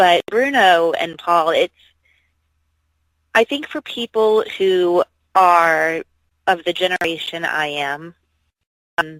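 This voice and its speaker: A woman at a very slow pace, with long, frequent pauses and ordinary pitch variation. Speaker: professional wrestler. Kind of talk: phone interview. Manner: hesitant, many fillers.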